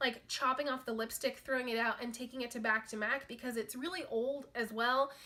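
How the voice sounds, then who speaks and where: A woman's voice, high in pitch, is raised and projected. She talks at a fairly quick pace. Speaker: beauty vlogger. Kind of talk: casual product review monologue. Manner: fast.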